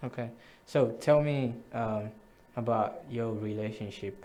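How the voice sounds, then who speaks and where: A man speaks at medium pitch with ordinary pitch variation. His pace is very slow, and the room echoes audibly. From Zambia, Ndola. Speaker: show host. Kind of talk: interview.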